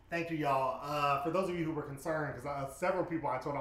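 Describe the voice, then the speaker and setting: Noticeable background noise sits behind a man speaking at a very fast pace. His voice is fairly high, with ordinary pitch variation. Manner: loud, animated; sassy, profane.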